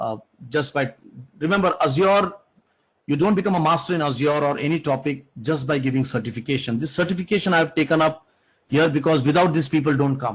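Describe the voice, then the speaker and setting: Somewhat breathy and fairly high-pitched, a man talks at a fairly quick pace. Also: ordinary pitch variation. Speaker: programming instructor. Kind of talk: online lecture. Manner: halting.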